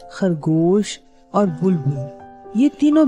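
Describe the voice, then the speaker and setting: A woman speaks with music in the background. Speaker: storyteller. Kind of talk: children's story narration.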